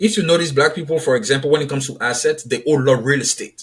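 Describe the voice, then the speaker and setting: Very fast delivery with an Ivorian accent. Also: man. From Ivory Coast. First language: French. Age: 30s. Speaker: author and publisher. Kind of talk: podcast interview.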